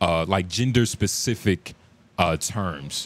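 A man speaks at a very slow pace in a very deep, low voice. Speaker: podcast host. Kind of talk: casual chat. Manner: animated.

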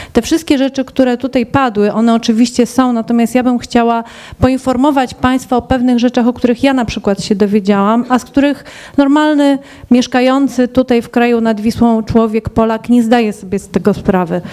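High-pitched and fairly even in intonation, a woman speaks at a fairly quick pace over a quiet background. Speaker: scouting instructor. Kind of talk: panel debate. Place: hall. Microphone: handheld.

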